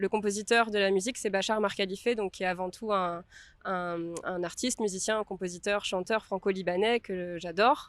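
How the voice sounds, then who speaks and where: With fairly even intonation, this woman delivers her words at a moderate pace. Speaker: film director. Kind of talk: interview. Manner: halting with many fillers.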